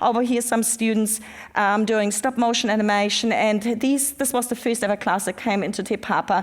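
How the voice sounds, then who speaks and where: On a very clean recording with a silent background, a woman with a German accent speaks at a moderate pace, fairly high in pitch, with fairly even intonation and very even loudness. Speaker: museum education manager. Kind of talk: conference presentation. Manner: halting, many fillers.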